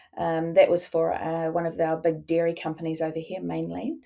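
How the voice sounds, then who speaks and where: A woman speaks. She has a strong New Zealand accent. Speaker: sports executive. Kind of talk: interview conversation. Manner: hesitant, many fillers.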